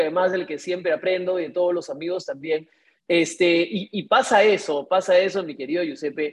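In a normal speaking voice, a woman talks at a medium pitch and moderate pace. Her pitch varies in an ordinary way. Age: 50s. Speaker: real estate broker and show host. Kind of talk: live online talk with audience. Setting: video call.

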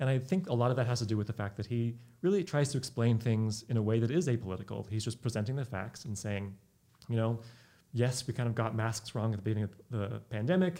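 A man with a Californian accent talks at a very fast pace. His tone is dark and mellow, at a medium pitch. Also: ordinary pitch variation. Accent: General American, Californian. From Northern California, Sacramento. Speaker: microbiologist. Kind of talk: casual interview.

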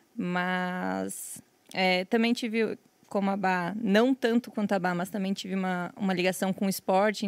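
A woman uses a normal speaking voice at a medium pitch and a fairly slow pace, her intonation fairly even, with a dry, close sound with no echo and a very clean recording against a silent background. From western Santa Catarina, Brazil. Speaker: professional poker player and streamer. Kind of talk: casual chat.

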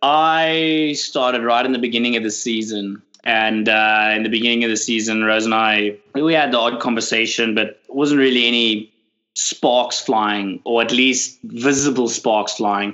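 At a moderate pace, a man of medium pitch speaks with fairly even intonation. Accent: South African. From South Africa, Cape Town. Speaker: boat skipper. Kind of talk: casual chat.

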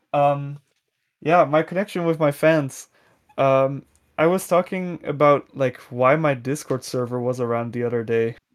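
The speaker has a Dutch accent, captured in a very clean recording with a silent background. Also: man. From Netherlands. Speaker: music producer. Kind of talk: interview. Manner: hesitant, many fillers.

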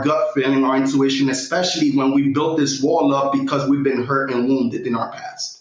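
A man with an American accent talks at a fairly quick pace with ordinary pitch variation. There is noticeable background noise. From Brooklyn, New York. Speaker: podcast host guest. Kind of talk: casual podcast conversation. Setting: studio.

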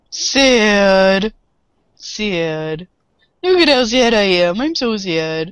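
A put-on character voice, female-sounding, at medium pitch for a woman and a very slow pace. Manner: silly, exaggerated, dopey.

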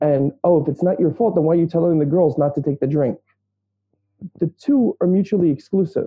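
Delivered at a fairly quick pace in a New York accent, the speech has very even loudness and ordinary pitch variation. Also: man, high pitch for a man. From Brooklyn, New York. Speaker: social worker and therapist. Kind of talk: interview conversation.

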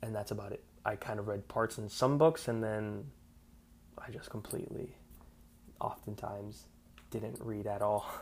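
The speech moves at a moderate pace with ordinary pitch variation. Long pauses come often. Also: man, fairly low pitch for a man. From South Florida, Cuban-American family. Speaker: podcast host. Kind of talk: solo monologue. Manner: casual, with many fillers.

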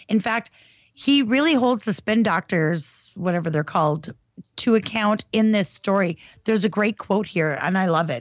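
A woman has a normal speaking voice at medium pitch, with ordinary pitch variation and a moderate pace. The sound is dry and close, with no echo. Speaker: advocacy group staffer. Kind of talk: casual chat. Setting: video call.

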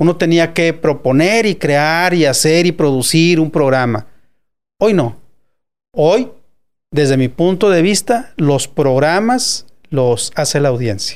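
At a very slow pace with long, frequent pauses, a man speaks with lively intonation and very even loudness. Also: fairly high pitch for a man. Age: 60s. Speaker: radio director and producer. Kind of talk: interview.

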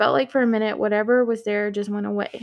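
With a slight Southern US accent, the speaker moves at a fairly quick pace with fairly even intonation. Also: woman. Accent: slight Southern US country twang. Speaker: guest story reader. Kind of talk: reading Reddit stories aloud with chat.

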